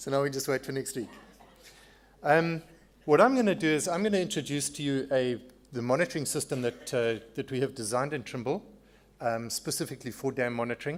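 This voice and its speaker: A man with a South African accent speaks at a fairly quick pace, with ordinary pitch variation and long, frequent pauses. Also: fairly high pitch for a man. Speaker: sponsor presenter, dam monitoring engineer. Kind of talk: conference presentation.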